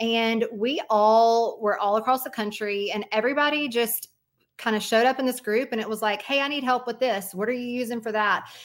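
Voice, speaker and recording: A woman talks at a fairly quick pace with a fairly high pitch, on a very clean recording with a silent background. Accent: Southern US. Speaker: mortgage broker, company owner. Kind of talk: interview.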